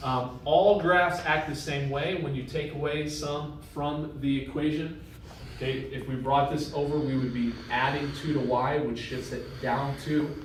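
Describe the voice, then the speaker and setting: In a room with audible echo, a man of fairly high pitch speaks slowly enough to count as fairly slow, with fairly even intonation. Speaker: math teacher. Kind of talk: lecture.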